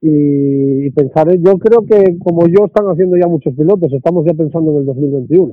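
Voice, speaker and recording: Here a man has an unremarkable speaking voice, fairly high in pitch, with ordinary pitch variation. He keeps a moderate pace with hardly any pauses. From Asturias, Spain. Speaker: rally co-driver. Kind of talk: interview.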